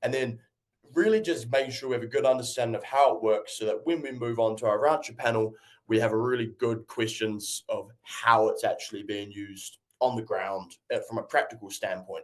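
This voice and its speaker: A man with a New Zealand accent at a fairly quick pace. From New Zealand, North Island. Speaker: agtech company representative. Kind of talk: webinar presentation.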